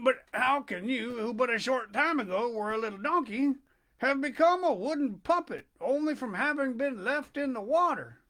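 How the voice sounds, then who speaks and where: A man puts on a character voice at an extremely high pitch. His voice sounds shaky. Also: moderate pace. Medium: read story.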